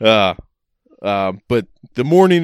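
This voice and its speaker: A man talks at a fairly slow pace, his pitch swinging very widely. The recording is very clean, with a silent background and a dry, close sound free of echo. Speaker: podcast co-host. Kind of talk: casual chat.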